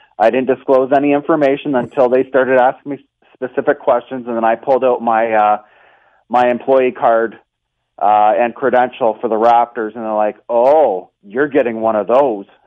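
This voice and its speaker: At a moderate pace, a man with a normal speaking voice speaks at medium pitch with fairly even intonation. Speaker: basketball game operations statistician. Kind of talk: casual interview.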